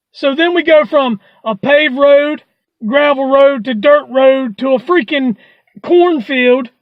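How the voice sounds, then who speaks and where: The speaker has a high pitch and talks at a fairly slow pace. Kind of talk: stand-up comedy storytelling. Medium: solo performance. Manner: rambling, wry.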